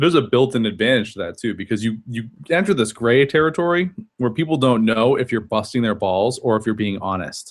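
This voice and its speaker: A man talks at a fairly quick pace with lively intonation, in a plain, everyday voice. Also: medium pitch for a man, hardly any pauses. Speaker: podcast host. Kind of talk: casual chat.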